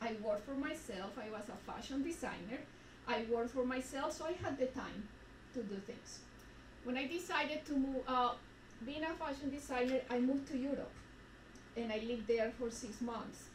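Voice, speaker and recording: With a Spanish accent, a woman speaks at a moderate pace in a high pitch with ordinary variation, taking long, frequent pauses amid audible room echo. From Colombia. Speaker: retreat speaker. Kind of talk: personal testimony.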